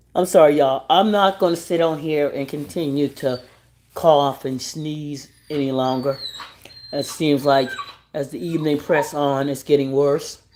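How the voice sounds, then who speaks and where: Noticeable background noise surrounds a man's voice. His pitch is fairly high and his intonation fairly even. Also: moderate pace. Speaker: live stream host. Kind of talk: casual chat.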